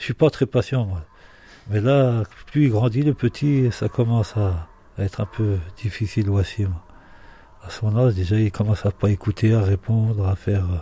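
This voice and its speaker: Pausing long and often, a man speaks at a moderate pace in a dark, mellow, somewhat breathy voice of fairly low pitch, with ordinary pitch variation and a dry, close sound with no echo. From Marseille area. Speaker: father. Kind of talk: interview.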